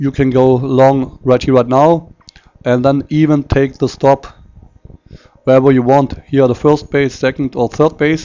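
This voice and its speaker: A man with a non-native accent, monotone and flat in intonation, medium-pitched, at a fairly slow pace with very even loudness. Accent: non-native English speaker. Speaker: forex market analyst. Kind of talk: tutorial. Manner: halting.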